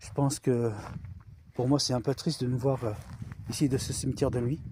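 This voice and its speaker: The man has a fairly high pitch and a dark, mellow tone. He keeps a moderate pace. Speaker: paranormal investigator youtuber. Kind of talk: ghost hunting vlog. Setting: outdoors in a cemetery at night. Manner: loud; hushed.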